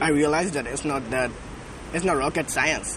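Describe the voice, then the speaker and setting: Fairly high-pitched male voice amid noticeable background noise and audible room echo. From Myanmar. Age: 20s. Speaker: subscriber doing approach challenge. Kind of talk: casual chat. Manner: halting.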